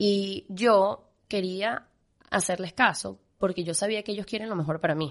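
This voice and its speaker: A woman uses a normal speaking voice, keeping a moderate pace and fairly even intonation. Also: quiet background. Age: 20s. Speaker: pastry chef. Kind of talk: interview.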